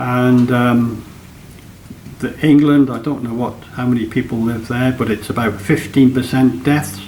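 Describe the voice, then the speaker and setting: Speaking at a fairly slow pace, a man uses a medium pitch with ordinary pitch variation. Noticeable background noise and audible room echo surround his voice. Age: 70s. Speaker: retired military veteran, vlogger. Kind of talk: casual vlog monologue. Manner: halting, many ums.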